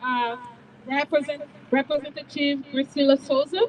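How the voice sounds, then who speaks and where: A woman's high voice in a Brazilian Portuguese accent, fairly slow, amid noticeable background noise. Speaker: immigrant advocacy director. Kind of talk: rally speech. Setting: outdoors with PA, State House steps.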